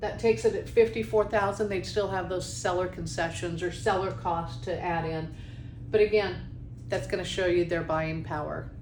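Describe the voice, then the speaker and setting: A woman talks at a moderate pace over noticeable background noise, with audible room echo. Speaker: mortgage industry presenter. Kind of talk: webinar tutorial.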